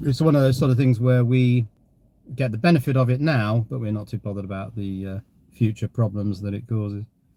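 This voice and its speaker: With an English accent, a man at a medium pitch talks at a fairly quick pace in a dark, mellow tone with ordinary pitch variation, in a dry, close sound with no echo. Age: 60s. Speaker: live streamer. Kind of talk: casual chat.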